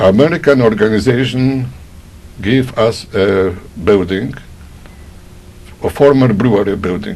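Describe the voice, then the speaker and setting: With a Polish accent, a man speaks fairly slowly at a fairly low pitch with ordinary pitch variation and long, frequent pauses, over noticeable background noise. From Poland. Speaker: Holocaust survivor. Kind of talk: oral history testimony.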